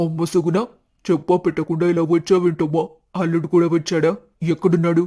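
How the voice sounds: In a cartoonish character voice, a man speaks at a moderate pace with a high pitch and monotone, flat intonation, the sound dry and close with no echo.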